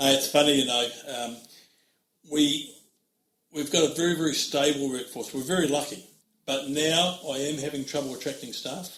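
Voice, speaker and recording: A fairly high-pitched man in a New Zealand accent, with long, frequent pauses and audible room echo. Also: fairly even intonation, moderate pace. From New Zealand, Oamaru. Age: 60s. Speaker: trucking company managing director. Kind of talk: interview.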